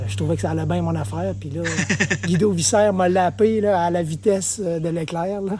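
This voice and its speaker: A man with a Quebec accent at a moderate pace, with noticeable background noise and audible room echo. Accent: Québécois French. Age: 60s. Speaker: mountain bike trail builder and former racer. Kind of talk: casual chat.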